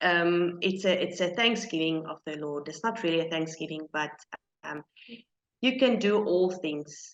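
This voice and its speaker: A woman talks at a fairly slow pace with a non-native accent. Her pitch is medium and her intonation lively. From South Africa. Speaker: small business owner. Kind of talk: interview. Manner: halting.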